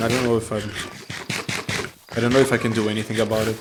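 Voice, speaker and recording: With noticeable background noise and audible room echo, a man talks at a medium pitch in a monotone, flat intonation. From non-English-speaking country. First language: not English. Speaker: gaming YouTuber. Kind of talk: casual gameplay commentary. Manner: hesitant, many fillers and restarts.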